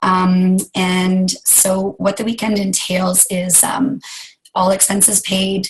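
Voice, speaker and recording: A woman of medium pitch speaks in a flat monotone. Her pace is very slow. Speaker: sales team leader and fitness instructor. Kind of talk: team meeting talk.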